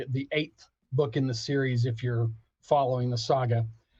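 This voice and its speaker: A man's somewhat breathy, dark, mellow voice at a moderate pace, with an American accent. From Texas, Abilene. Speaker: author and pop culture critic. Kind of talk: interview. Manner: animated.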